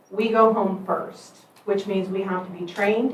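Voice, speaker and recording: Against noticeable background noise and audible room echo, a woman speaks at a medium pitch with fairly even intonation. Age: 60s. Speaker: volunteer firefighter and EMS captain. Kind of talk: public comment at a meeting. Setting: county commission meeting.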